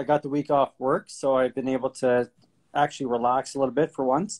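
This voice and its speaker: Speaking with a Canadian accent at a moderate pace, a man with a fairly high pitch is heard in a dry, close sound with no echo. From Ontario, Canada (Sarnia). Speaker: real estate investor. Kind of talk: podcast interview. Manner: hesitant, many fillers.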